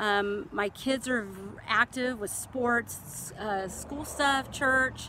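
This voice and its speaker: Ordinary pitch variation runs through this voice with an American accent. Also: woman. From central California. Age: 40s. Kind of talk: casual talk to camera. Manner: hesitant.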